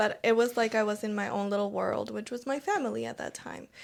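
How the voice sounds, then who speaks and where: A woman is speaking. She has a Spanish accent. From Argentina. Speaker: podcast co-host. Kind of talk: casual chat.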